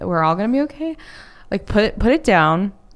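Speaking at a moderate pace with an American accent, a woman uses a medium pitch with very wide pitch swings. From Texas, North Dallas area. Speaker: entrepreneur and business coach. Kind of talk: casual interview.

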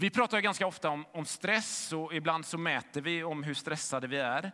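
A bright, sharp tone with vocal fry swings very widely in pitch at a fairly slow pace. The recording is very clean, with a silent background. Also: man. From western Sweden, Gothenburg. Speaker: pastor. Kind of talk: sermon.

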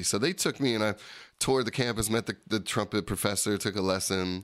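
Speaking very fast with an American accent, a man shows ordinary pitch variation in a very clean recording with a silent background. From South Jersey, US (Camden County). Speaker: jazz trumpeter and producer. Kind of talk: casual interview chat. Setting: radio studio.

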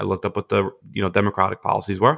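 With a Brooklyn accent, a man talks at a very fast pace, the sound dry and close with no echo against a quiet background. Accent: Brooklyn New York. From Brooklyn, New York (Gravesend/Bensonhurst). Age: 20s. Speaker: political candidate, construction worker. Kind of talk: podcast interview. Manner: hesitant, many fillers and repetitions.

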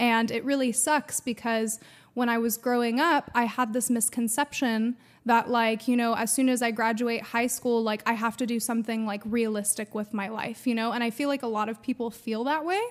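Over a silent background in a very clean recording, a woman with an American accent and a plain, everyday voice talks at a moderate pace, her pitch fairly high and her intonation fairly even. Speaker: singer in a metal band. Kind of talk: casual podcast interview. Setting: video recording with camera. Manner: chatty, laughing, uses many fillers.

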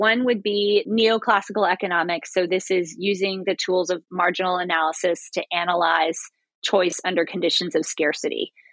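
A woman speaks at a moderate pace with a medium pitch, ordinary pitch variation and very even loudness in an unremarkable speaking voice. There are hardly any pauses, and the sound is dry and close with no echo. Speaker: historian and professor. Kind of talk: interview.

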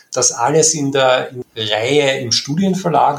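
A man's moderately paced speech shows ordinary pitch variation, with noticeable background noise behind him. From Upper Austria, near Linz. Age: 40s. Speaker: archive director. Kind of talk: interview. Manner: hesitant with many fillers.

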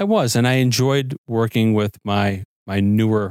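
The man has an ordinary speaking voice, fairly low in pitch, with fairly even intonation. The sound is dry and close with no echo. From US Midwest, Chicago suburbs (Arlington Heights, Illinois). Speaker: fire chief. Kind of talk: interview.

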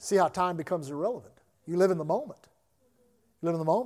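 A man with an American accent at a very fast pace, high in pitch with ordinary pitch variation, on a very clean recording with a silent background. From US South. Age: 60s. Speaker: pastor. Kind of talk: sermon. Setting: church.

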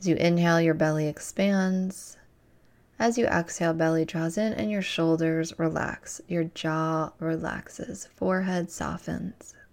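In a plain, everyday voice, a woman speaks at a fairly slow pace and fairly low pitch with ordinary pitch variation, on a very clean recording with a silent background. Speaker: spiritual teacher and podcast host. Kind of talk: guided meditation. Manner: slow, soft and soothing, calm, with long pauses; gently instructive and reassuring.

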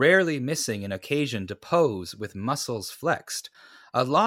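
It is an unforced reading voice with lively intonation.

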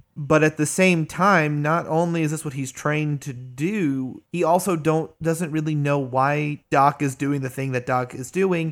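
A man talks at a fairly slow pace with ordinary pitch variation in a plain, everyday voice, on a very clean recording with a silent background. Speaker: tabletop RPG player. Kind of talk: casual chat.

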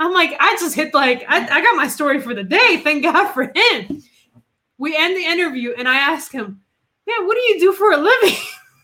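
A woman with a high, bright, sharp voice projects it loudly at a moderate pace, her pitch swinging very widely. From Puerto Rico. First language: Spanish. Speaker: investigative reporter. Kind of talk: casual interview chat.

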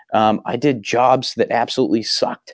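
A man with a Boston accent at a medium pitch. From Massachusetts (Waltham, near Boston). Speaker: small business owner. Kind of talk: casual chat.

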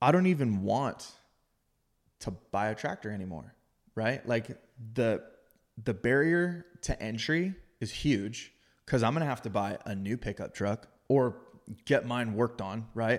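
With a Californian accent, a man talks at a fairly slow pace and a medium pitch, using ordinary pitch variation and long, frequent pauses in a very clean recording with a silent background. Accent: Californian American. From Southern California, San Diego. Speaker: heavy equipment operator and fitness coach. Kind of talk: casual chat.

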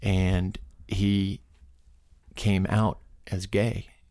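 In a very clean recording with a silent background, a man with an American accent speaks in a very deep, low pitch, his dark, mellow tone touched by vocal fry. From US, California and New York suburbs. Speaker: expedition participant. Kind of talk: casual interview.

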